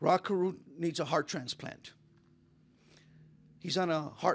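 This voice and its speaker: A man speaks at a fairly slow pace with an American accent. His voice is high-pitched and fairly even in intonation. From California. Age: 60s. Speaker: motivational speaker. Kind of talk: motivational talk.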